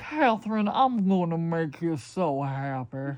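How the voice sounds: A put-on character voice with a Southern US accent, pitched in the middle range. It moves at a fairly slow pace. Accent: Southern American.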